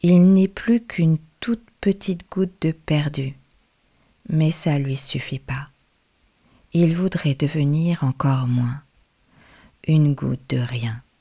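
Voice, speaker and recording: A woman with a very deep, low pitch speaks very slowly, leaving long, frequent pauses. Her tone is gentle, soothing, dark and mellow, somewhat breathy, with ordinary pitch variation. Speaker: storyteller who reads her own tale. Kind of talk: bedtime story, told aloud. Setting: radio show. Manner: gentle, slow and soothing, with a soft storytelling cadence; repetitive, lulling phrasing with a fairy-tale rhythm.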